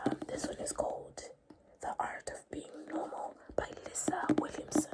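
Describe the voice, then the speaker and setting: The voice is a whisper at a middling speed. Noise can be clearly heard behind it. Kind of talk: ASMR book haul. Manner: soft-spoken, whispered.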